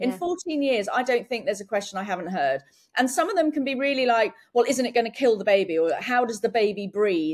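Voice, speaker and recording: Speaking at a very fast pace in an English accent, a woman with a fairly high pitch makes very wide pitch swings. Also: quiet background. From England. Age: 40s. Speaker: entrepreneur and inventor; podcast guest. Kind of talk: casual chat. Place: home room. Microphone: video call.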